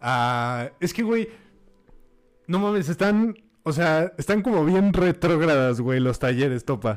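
Very slow and broken by long, frequent pauses, a man's fairly high voice moves in very wide pitch swings. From Mexico, Puebla. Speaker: podcast co-host. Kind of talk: casual chat.

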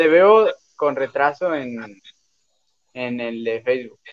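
A man speaks with ordinary pitch variation. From Mexico, Cancún. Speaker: podcast co-host. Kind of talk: casual chat.

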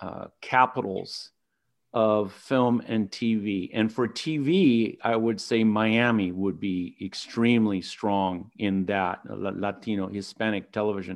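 Against a quiet background, a man with an American accent and an unremarkable speaking voice talks at a fairly slow pace in a medium pitch. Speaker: podcast host. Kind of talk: interview.

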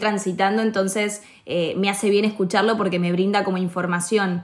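A woman's plain, everyday voice at a medium pitch, with a moderate pace and fairly even intonation. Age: 20s. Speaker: actress and podcast host. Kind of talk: casual chat.

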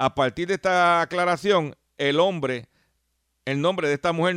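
An unremarkable speaking voice from a man, fairly quick, with ordinary pitch variation and a dry, close sound with no echo against a quiet background. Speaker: radio host and consumer advocate. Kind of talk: radio talk show monologue.

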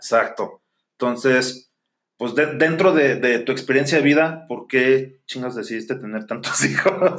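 Using a normal speaking voice, a man at medium pitch talks at a fairly slow pace with ordinary pitch variation. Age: 30s. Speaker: podcast co-host. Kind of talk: casual chat.

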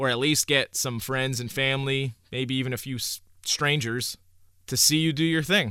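On a very clean recording with a silent background, a man with a New York accent speaks at a moderate pace in a bright, sharp tone with fairly even intonation. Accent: New York area American. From Hudson Valley, New York. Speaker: music podcaster. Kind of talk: solo podcast monologue. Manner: casual, many filler uhs.

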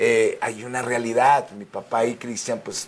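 Over noticeable background noise, a man at a medium pitch speaks in an animated tone. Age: 50s. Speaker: singer and actor. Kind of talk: interview.

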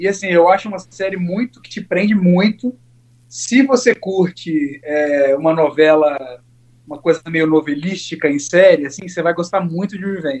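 A man's high-pitched voice at a moderate pace, with ordinary pitch variation and big swings in loudness. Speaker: podcast guest. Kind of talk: casual chat.

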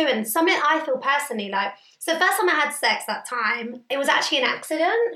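A woman's raised, projected voice, high-pitched with very wide pitch swings, at a very fast pace. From Indian heritage. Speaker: podcast co-host. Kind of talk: casual chat.

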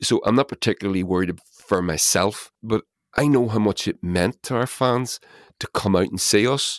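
The speaker has a Northern Irish accent. The recording is very clean, with a silent background. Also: man, fairly low pitch for a man, ordinary pitch variation, moderate pace, dry, close sound with no echo. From Northern Ireland. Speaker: musician. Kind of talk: casual chat.

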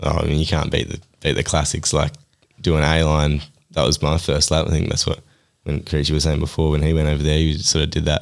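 In an Australian accent, a man with a very deep, low pitch talks at a fairly quick pace in a flat monotone, his loudness very even. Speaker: mountain bike racer. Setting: studio.

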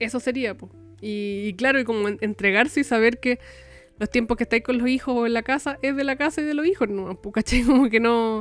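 Fairly quick, fairly high speech from a woman with a Chilean accent, ordinary pitch variation, and music in the background. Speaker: podcast co-host, crafter. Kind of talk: casual chat. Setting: recording from home.

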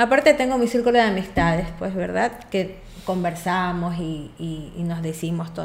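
Lively intonation and a moderate pace from a woman with an unremarkable speaking voice. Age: 40s. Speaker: patient. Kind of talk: medical consultation chat.

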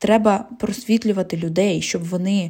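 A woman's somewhat breathy voice of medium pitch, with a dark, mellow tone, a Russian accent, ordinary pitch variation and a moderate pace. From Zaporizhzhia, south-eastern Ukraine. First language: Russian (speaking Ukrainian). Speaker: podcast host. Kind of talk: solo podcast monologue.

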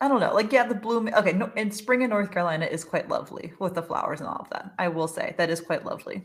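Somewhat breathy, a woman is speaking. She moves at a fairly quick pace. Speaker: podcast host and dietitian. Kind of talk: casual chat. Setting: recording a podcast.

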